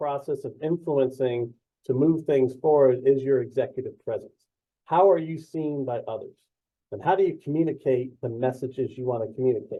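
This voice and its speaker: This man's voice sits fairly high, with ordinary pitch variation and big swings in loudness. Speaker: presentation skills trainer. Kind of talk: webinar presentation. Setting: virtual session. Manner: fast.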